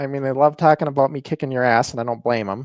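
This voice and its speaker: A fairly high-pitched man with an American accent, on a very clean recording with a silent background and a dry, close sound with no echo. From northern US. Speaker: wrestling podcast host and wrestler. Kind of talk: casual chat. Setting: livestream.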